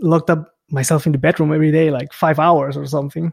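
In a Spanish accent, a man talks at a fairly quick pace with fairly high pitch, somewhat breathy and with monotone, flat intonation. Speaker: bass player and YouTuber. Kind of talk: casual chat. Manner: laughs often.

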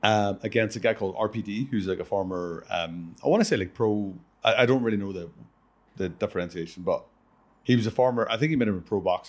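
Speaking very fast with an Irish accent, a man uses a fairly low pitch and ordinary pitch variation in a quiet background. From Ireland. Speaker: professional wrestler and podcast host. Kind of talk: casual chat.

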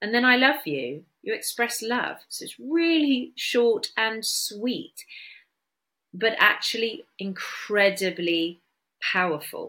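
A bright, sharp voice at a very slow pace swings very widely in pitch and shows big swings in loudness. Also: woman, fairly high pitch for a woman. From Bristol, England. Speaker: podcast host. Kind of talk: solo podcast talk on wellness.

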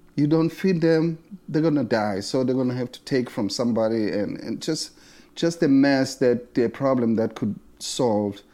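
With a South African accent, the voice has a dark, mellow tone, a moderate pace and ordinary pitch variation on a very clean recording with a silent background. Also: man, medium pitch for a man. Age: 60s. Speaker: bass player. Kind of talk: casual interview. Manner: halting, many repetitions and fillers.

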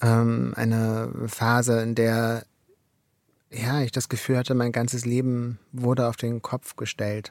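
A man speaks very slowly in a medium pitch with monotone, flat intonation, captured dry and close with no echo in a very clean recording with a silent background. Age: 40s. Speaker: author. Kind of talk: interview. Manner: hesitant, many fillers.

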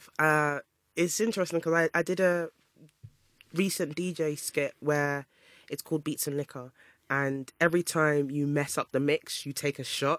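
Speech at a moderate pace, very clean recording, silent background. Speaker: DJ and radio host. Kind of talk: casual chat.

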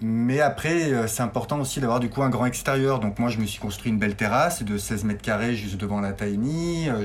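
Amid noticeable background noise and audible room echo, a man talks fairly quickly at a medium pitch with ordinary pitch variation. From Auvergne, France (Clermont-Ferrand). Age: 40s. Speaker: tiny house dweller. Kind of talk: interview. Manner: hesitant, repeats words.

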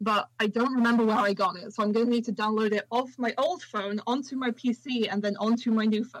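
At a fairly quick pace, a woman speaks with a fairly high pitch and fairly even intonation.

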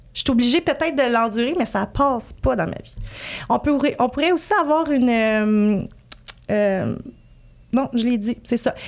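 Speaking at a fairly slow pace with long, frequent pauses, a woman with a Quebec accent and high pitch shows big swings in loudness and ordinary pitch variation. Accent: Québécois French. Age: 30s. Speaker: emotional decoding practitioner, former entrepreneur. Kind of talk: podcast interview.

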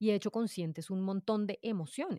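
A woman with a medium pitch and ordinary pitch variation, in a very clean recording with a silent background and a dry, close sound with no echo. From Colombia, Bogotá. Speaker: podcaster. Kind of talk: casual interview.

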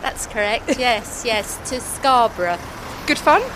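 Over noticeable background noise, a woman talks at a fairly slow pace in a high pitch. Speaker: retired library worker on holiday. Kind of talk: casual street chat. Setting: outdoors.

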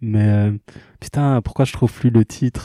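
The man's tone is dark and mellow. The sound is dry and close with no echo, in a very clean recording with a silent background. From Kinshasa, DR Congo. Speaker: singer. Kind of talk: casual interview. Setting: studio. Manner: halting.

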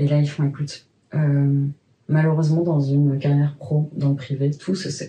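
The voice has a dark, mellow tone and is somewhat breathy, moving at a moderate pace with monotone, flat intonation. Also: woman, very deep, low pitch for a woman. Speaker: sex educator and sex therapist. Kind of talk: personal testimony in a conversational interview.

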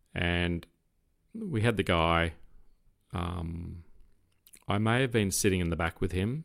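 The recording is very clean, with a silent background. A man with an Australian accent speaks very slowly in a very deep, low voice with ordinary pitch variation. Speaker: retired police officer. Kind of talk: casual chat.

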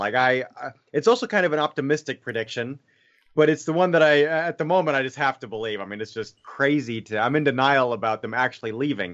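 Speaking at a very fast pace, a man with an American accent uses a fairly high pitch. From Bavaria, Germany (American family). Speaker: former English teacher. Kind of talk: casual discussion.

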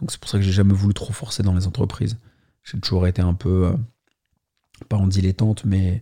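A man speaks with a fairly low pitch and a dark, mellow tone. His voice is somewhat breathy. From Paris, France. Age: 30s. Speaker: YouTuber. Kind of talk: testimony. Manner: halting.

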